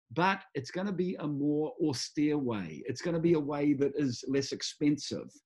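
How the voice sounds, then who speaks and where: Somewhat breathy and fairly high-pitched, a man speaks at a moderate pace with ordinary pitch variation and hardly any pauses. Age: 60s. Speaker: music executive and champion sailor. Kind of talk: interview conversation. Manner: halting with fillers; animated.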